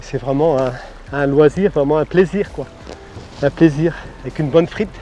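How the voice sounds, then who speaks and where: Noticeable background noise sits under the voice. The pace is moderate, with ordinary pitch variation. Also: man, fairly high pitch for a man. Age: 60s. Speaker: recreational shore fisherman. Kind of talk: casual interview. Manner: halting, many hesitations.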